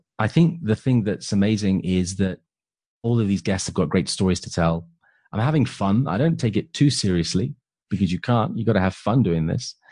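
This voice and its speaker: A man with a British accent speaks at a fairly low pitch and a fairly quick pace. His intonation is lively, and the background is quiet. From England. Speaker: property entrepreneur and podcaster. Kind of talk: interview conversation.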